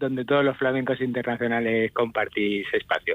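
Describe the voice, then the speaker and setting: Fairly even in intonation and medium in pitch, a man talks with an ordinary speaking voice. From Spain, Castilla-La Mancha. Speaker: music journalist. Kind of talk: radio interview.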